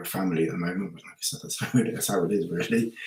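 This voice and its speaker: Mumbling, a man speaks at a very deep, low pitch. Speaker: hiking vlogger. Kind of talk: live stream Q&A. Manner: halting.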